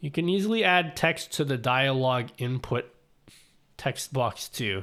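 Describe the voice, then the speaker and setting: Here a man has a fairly high pitch, a bright, sharp tone and lively intonation at a fairly slow pace. The recording is very clean with a silent background. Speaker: streamer giving streaming tech tips. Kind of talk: casual live stream chat.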